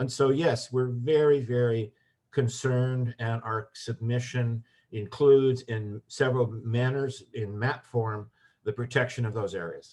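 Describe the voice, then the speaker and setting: Against a quiet background, a man talks at a fairly slow pace in a medium-pitched, somewhat breathy voice with fairly even intonation. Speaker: environmental advocate. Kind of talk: webinar discussion.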